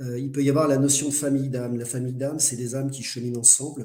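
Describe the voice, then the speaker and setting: At a very fast pace, a man speaks with monotone, flat intonation. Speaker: medium and spiritual speaker. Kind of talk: online lecture. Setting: live webinar.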